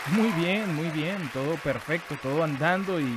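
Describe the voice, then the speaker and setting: A man's voice with ordinary pitch variation over crowd noise in the background. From Venezuela. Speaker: voice actor. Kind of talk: interview answer.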